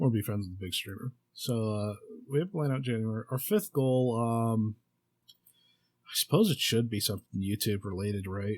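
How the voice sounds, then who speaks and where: A man mumbles at a moderate pace, his medium pitch moving with ordinary variation. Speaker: podcast host. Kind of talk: casual solo podcast monologue. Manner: halting, many fillers and restarts.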